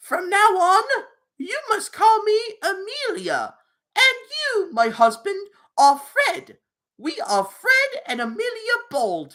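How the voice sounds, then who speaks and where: In a put-on character voice, a female-sounding speaker goes extremely high in pitch with very wide pitch swings at a fairly slow pace. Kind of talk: fancy, posh. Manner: playful.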